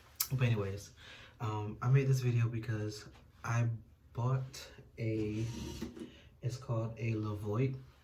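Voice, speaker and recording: In a room with audible echo, a man with a somewhat breathy, medium-pitched voice speaks in a flat monotone with long, frequent pauses. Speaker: YouTuber. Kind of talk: casual vlog review. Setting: at home.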